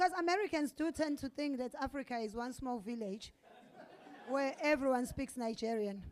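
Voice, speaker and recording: The speaker uses lively intonation at a moderate pace. Crowd noise fills the background. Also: woman, high pitch for a woman. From South Africa. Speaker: stand-up comedian. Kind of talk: live stand-up comedy set. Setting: comedy club stage.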